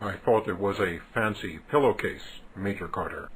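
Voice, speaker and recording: A man puts on a character voice at a fairly low pitch and a moderate pace. There is clear background noise. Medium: comedy sketch. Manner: formal, stilted, no contractions; deadpan.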